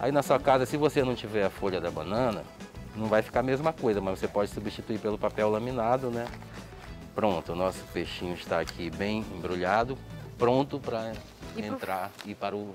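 A man speaks at a fairly low pitch in a dry sound with no echo. Clear music plays behind him. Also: ordinary pitch variation, moderate pace. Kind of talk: cooking tutorial. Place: cafe.

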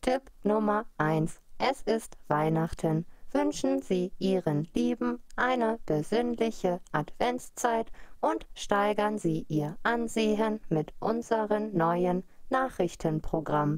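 A woman speaks in a put-on, robotic character voice that sounds female, at medium pitch. Her pace is very slow. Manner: emotionless, mechanical.

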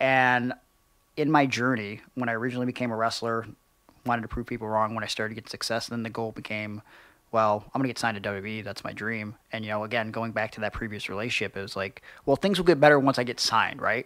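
A man with an Ohio accent talks at a very fast pace in a bright, sharp tone with fairly even intonation. The sound is dry with no echo, over a quiet background. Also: big swings in loudness. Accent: Midwestern American (Ohio). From Cleveland, Ohio. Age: 30s. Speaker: professional wrestler; podcast guest. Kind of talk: casual interview chat. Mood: reflective, earnest. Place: studio. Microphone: studio mic.

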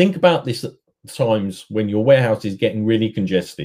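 With lively intonation and a slightly mellow tone, a man talks at a moderate pace in a fairly low pitch.

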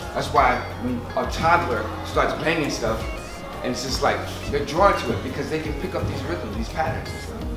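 Audible room echo and clear music in the background surround a man speaking with an American accent. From Brooklyn, New York. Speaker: performer and percussion workshop teacher. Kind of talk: talk at a community presentation. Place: kitchen.

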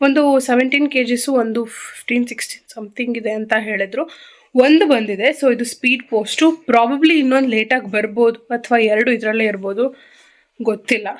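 Her intonation is fairly even. The woman's voice is high-pitched. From Karnataka, India (Bengaluru). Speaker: vlogger. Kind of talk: casual vlog.

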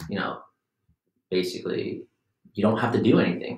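Against a quiet background with audible room echo, a man speaks fairly quickly in a somewhat breathy voice with fairly even intonation. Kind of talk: casual discussion. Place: meeting room. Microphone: camera far.

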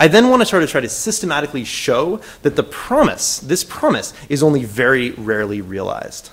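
A man talks at a fairly quick pace with hardly any pauses, his fairly high pitch making very wide swings. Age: 30s. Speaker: social scientist giving a conference talk; conference speaker. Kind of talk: lecture. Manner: halting. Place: hall.

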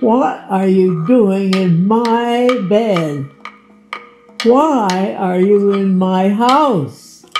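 A female-sounding voice at medium pitch performs a put-on character voice at a very slow pace. Music plays in the background. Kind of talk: amateur community theatre reading. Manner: indignant, threatening.

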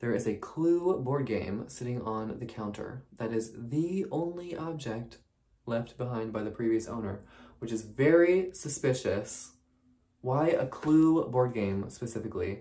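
Lively intonation marks a man's speech, delivered at a fairly slow pace. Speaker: vlogger. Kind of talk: casual vlog chat. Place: home room. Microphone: phone near.

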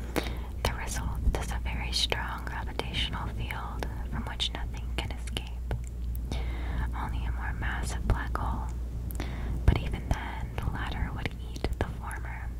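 A soft-spoken woman whispers at a fairly slow pace with long, frequent pauses, her dry, echo-free voice set against loud background noise. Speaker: ASMR creator. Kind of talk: soft-spoken educational ASMR. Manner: soft close-mic whisper. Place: home room. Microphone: studio mic.

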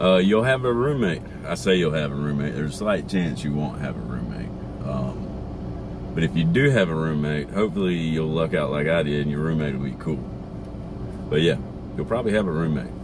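Here a man talks at a fairly quick pace in a very deep, low pitch. Noticeable background noise runs through the clip. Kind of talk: casual vlog chat. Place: car. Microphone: phone near.

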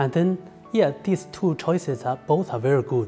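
With a Chinese accent, a man talks at a fairly slow pace over faint music in the background. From China. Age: 30s. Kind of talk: personal testimony to camera. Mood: calm, sincere. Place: home room.

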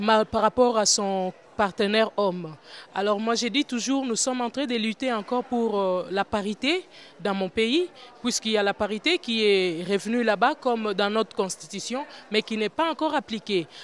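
Speaking at a moderate pace with a fairly high pitch and ordinary pitch variation, a woman with a Congolese accent is heard over light background noise in a dry sound with no echo. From DR Congo. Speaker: women's political activist. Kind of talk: interview. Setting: conference forum. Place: hall. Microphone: handheld.

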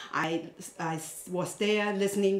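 There is audible room echo around this woman's voice. Her intonation stays fairly level. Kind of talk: lecture.

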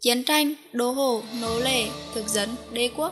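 A woman speaks with music in the background. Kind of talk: documentary film narration.

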